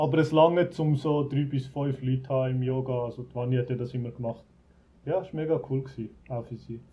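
A man with a medium pitch and a somewhat breathy voice speaks at a fairly quick pace with fairly even intonation. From Switzerland, Zurich Oberland. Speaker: resort owner, emigrant. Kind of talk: casual interview. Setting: video call.

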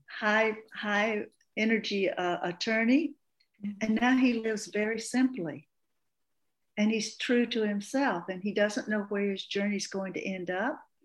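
A woman with an American accent speaks at a fairly slow pace. Her voice is somewhat breathy, with ordinary pitch variation. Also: fairly high pitch for a woman. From US South, Appalachian Georgia. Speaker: breathwork facilitator and coach. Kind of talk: interview. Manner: halting.

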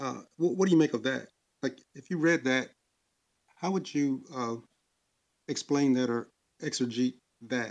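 At a moderate pace and medium pitch, a man speaks with ordinary pitch variation and long, frequent pauses. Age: 60s. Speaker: caller. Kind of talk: religious debate. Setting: online audio room.

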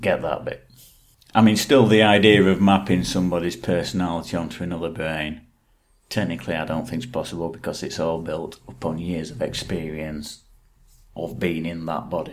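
A man with an English accent, very deep and low in pitch, at a moderate pace with ordinary pitch variation. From England. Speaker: podcast co-host. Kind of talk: casual chat.

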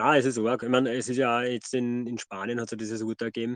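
With an ordinary speaking voice, a man talks at a fairly quick pace in a dry, close sound with no echo against a quiet background. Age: 30s. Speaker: podcast co-host. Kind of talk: casual chat.

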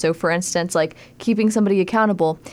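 A woman talks with an American accent in an ordinary speaking voice. Her pitch is medium, her intonation fairly even, and her pace fairly quick. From Texas, Tyler. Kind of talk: radio interview. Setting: studio.

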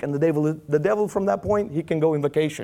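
A man speaks in a Romanian accent with lively intonation. His tone is dark and mellow. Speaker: preacher. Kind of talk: sermon. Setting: church.

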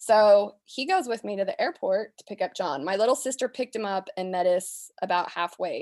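A woman with a normal speaking voice and an American accent, medium in pitch, with lively intonation, big swings in loudness, a moderate pace and hardly any pauses, on a very clean recording with a silent background and a dry, close sound with no echo. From US West, southern Utah. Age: 30s. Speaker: rancher. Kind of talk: interview.

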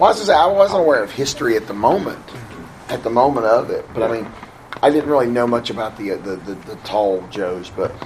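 Against noticeable background noise, a man speaks fairly quickly at medium pitch. His pitch swings very widely, and his loudness shifts a lot. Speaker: writer panelist.

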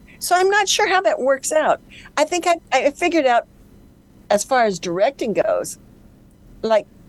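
Recorded dry and close with no echo, a woman speaks at a moderate pace with very wide pitch swings. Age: 60s. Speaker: actress. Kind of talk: interview.

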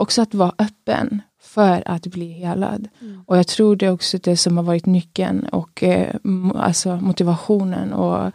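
Dry and close with no echo, a woman's dark, mellow voice of medium pitch moves at a fairly slow pace with fairly even intonation. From Sweden, Skåne (Kristianstad). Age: 20s. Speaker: guest sharing faith testimony, new mother. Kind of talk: testimony. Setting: studio.

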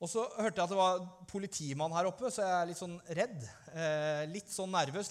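A man speaks at a fairly quick pace in a high voice, with ordinary pitch variation. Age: 30s. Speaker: pastor. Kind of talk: sermon.

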